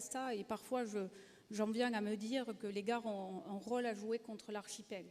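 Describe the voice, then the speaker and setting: A fairly high-pitched woman with a slight southern French accent and fairly even intonation. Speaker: rail company executive. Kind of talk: panel discussion.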